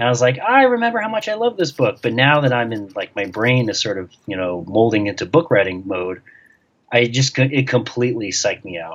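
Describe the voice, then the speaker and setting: An ordinary speaking voice: a man at medium pitch, fairly quick pace, with an American accent. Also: ordinary pitch variation. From New York. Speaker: sports journalist and author. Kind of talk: interview.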